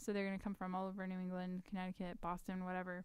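A woman with an American accent at a medium pitch, dry with no echo, in a quiet background. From Texas. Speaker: charity founder and political candidate; candidate. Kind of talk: casual chat. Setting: studio. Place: studio. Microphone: studio mic.

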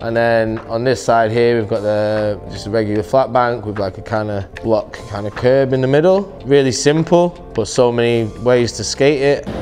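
Faint music plays in the background as a man speaks at a moderate pace with ordinary pitch variation. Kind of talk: interview answer. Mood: relaxed, enthusiastic. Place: hall.

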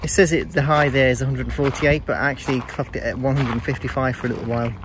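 A man heard in a dry sound with no echo, with noticeable background noise. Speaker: runner vlogger. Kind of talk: casual vlog chat. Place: garden. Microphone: earbuds.

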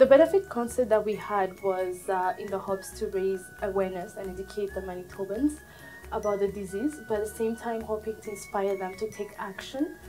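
Over faint background music, a woman talks at a fairly quick pace with ordinary pitch variation and big swings in loudness. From Burundi. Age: 20s. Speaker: Red Cross volunteer. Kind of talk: interview answer. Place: office.

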